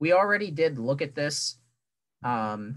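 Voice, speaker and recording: A man's bright, sharp voice with ordinary pitch variation over a quiet background. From Delaware County, Pennsylvania; Pennsylvania. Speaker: student tour guide. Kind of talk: guided campus tour. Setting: video call. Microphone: webcam.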